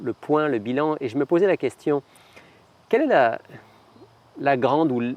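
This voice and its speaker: A man speaks at a moderate pace. The recording is dry and close, with no echo. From France. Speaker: television interviewer. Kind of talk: interview.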